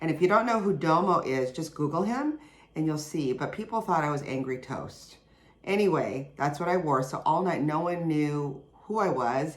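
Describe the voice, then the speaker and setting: A woman with a very deep, low pitch talks at a moderate pace using lively intonation. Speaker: podcast host. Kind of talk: casual podcast monologue.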